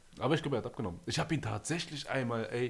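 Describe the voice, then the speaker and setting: A somewhat breathy man at medium pitch and a very fast pace. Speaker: podcast host. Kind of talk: casual chat. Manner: animated.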